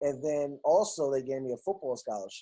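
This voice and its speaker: With a New York accent, a man is talking. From New York City, Queens. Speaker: radio DJ. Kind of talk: casual interview. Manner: animated.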